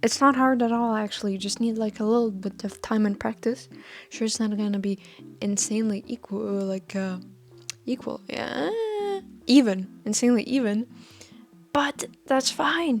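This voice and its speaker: A woman's fairly high voice at a moderate pace, with ordinary pitch variation and long, frequent pauses. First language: not English. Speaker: fashion student vlogger. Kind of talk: casual vlog talk. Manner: halting, many fillers and restarts.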